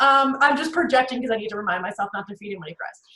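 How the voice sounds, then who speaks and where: A woman with an American accent speaks at a high pitch, her intonation lively. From New Jersey, North Jersey. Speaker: professional speaker and networking trainer. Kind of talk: webinar presentation. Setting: video call. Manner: fast; animated.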